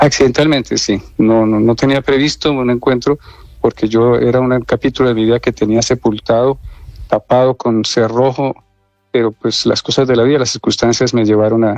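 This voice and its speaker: With music in the background, a man talks at a moderate pace and medium pitch in a monotone, flat delivery, his loudness very even and the sound dry and close with no echo. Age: 60s. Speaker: abuse survivor. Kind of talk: radio interview testimony. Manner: hesitant, with fillers.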